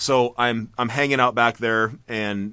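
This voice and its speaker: A man's ordinary speaking voice, medium in pitch, with fairly even intonation and a quiet background. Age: 30s. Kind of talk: casual chat. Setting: video call.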